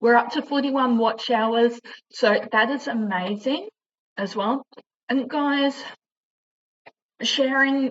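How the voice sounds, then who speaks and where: A woman speaks at a fairly slow pace with an Australian accent. Her intonation stays fairly even. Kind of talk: informational vlog. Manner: halting, struggles with pronunciation.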